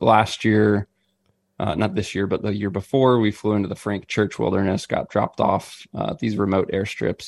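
Recorded very cleanly against a silent background, the dry, close sound with no echo captures a man with an American accent speaking at a moderate pace, fairly low in pitch, with vocal fry and fairly even intonation. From Missouri. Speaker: outdoor gear company staffer and hunting podcaster. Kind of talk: casual interview chat.

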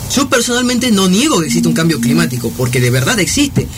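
A man with a high voice speaks over noticeable background noise, with audible echo from the room. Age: 20s. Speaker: law student and young political activist. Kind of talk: radio interview.

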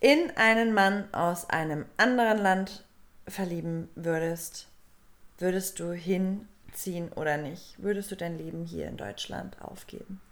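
At a very slow pace, a woman speaks with big swings in loudness. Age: 30s. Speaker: podcast co-host. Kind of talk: casual chat. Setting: studio.

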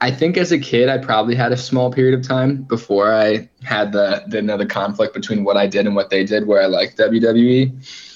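A man with a plain, everyday voice speaks in an American accent at a fairly quick pace. His medium pitch shows ordinary pitch variation. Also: hardly any pauses. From United States. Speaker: guest, former college wrestler. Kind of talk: casual chat.

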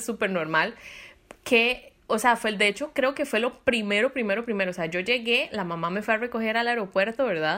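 A woman with a Costa Rican accent, bright and sharp in tone, fairly high in pitch, with lively intonation at a fairly quick pace. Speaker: podcast host. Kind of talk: casual chat.

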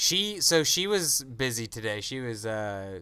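A man speaks in an American accent with a bright, sharp tone. The recording is very clean, with a silent background. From US, Tennessee and rural Pennsylvania. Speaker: podcast co-host, filmmaker. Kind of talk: casual chat.

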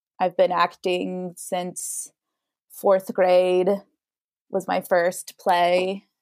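Someone with an American accent speaks in a dry, close sound with no echo. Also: woman. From Idaho. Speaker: actor and model. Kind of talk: casual chat.

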